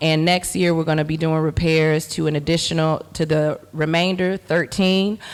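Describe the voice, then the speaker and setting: A woman with an American accent speaks in an ordinary speaking voice, her fairly low pitch carried on fairly even intonation at a fairly slow pace. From Chicago, Greater Inglewood. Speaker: artist and community organizer. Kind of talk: panel presentation.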